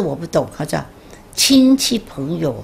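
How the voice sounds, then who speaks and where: The speaker is a woman. Some light background noise is present. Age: 80s+. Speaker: Chinese-language education patron. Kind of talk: interview answer. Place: home room.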